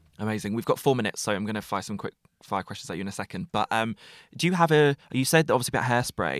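Here is a man talking at a very fast pace with a medium pitch. The recording is very clean, with a silent background. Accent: English. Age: 20s. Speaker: podcast host. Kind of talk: casual chat; scripted narration.

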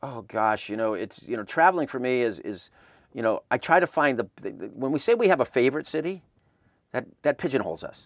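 In an American accent, a man with an unremarkable speaking voice talks fairly quickly at medium pitch with lively intonation, recorded dry and close with no echo against a quiet background. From Southern California. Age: 50s. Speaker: music festival founder. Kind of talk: interview.

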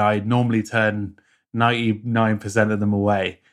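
A man speaks at a moderate pace with a British accent, his pitch fairly low. The recording is very clean, with a silent background. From rural UK. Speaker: productivity YouTuber and app maker. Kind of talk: casual interview chat.

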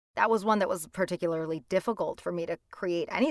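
On a very clean recording with a silent background and a dry, close sound with no echo, a woman with an ordinary speaking voice talks at a fairly quick pace, fairly low in pitch, with ordinary pitch variation. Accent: American. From Hudson County, New Jersey. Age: young. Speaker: audiobook narrator and actor. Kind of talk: interview.

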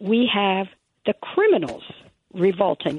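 Speaking very slowly in an American accent, a woman lets her pitch swing very widely. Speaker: caller. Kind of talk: casual chat. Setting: phone call.

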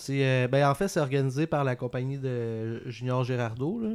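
A man's normal speaking voice at medium pitch and moderate pace, on a very clean recording with a silent background. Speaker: podcast co-host and comedian. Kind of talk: casual chat.

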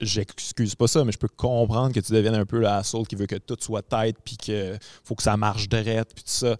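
A man speaks at a moderate pace and medium pitch in a very clean recording with a silent background and a dry, close sound with no echo. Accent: Quebec. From Quebec City. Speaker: podcast host and comedian. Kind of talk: casual chat. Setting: performance venue, no audience.

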